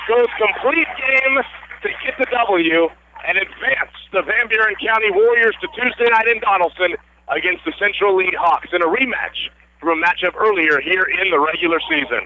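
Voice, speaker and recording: Noticeable background noise sits behind a man who speaks at a moderate pace in a high pitch, his intonation lively and his loudness very even. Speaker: radio sports play-by-play announcer. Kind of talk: live radio play-by-play sports broadcast.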